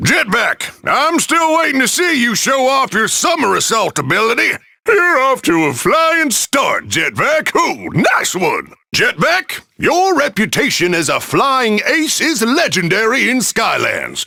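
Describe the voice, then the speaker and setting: Putting on a character voice, a man speaks at an extremely high pitch in a raised, projected voice, upbeat in tone and fairly slow in pace. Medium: video game. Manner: upbeat, hammy.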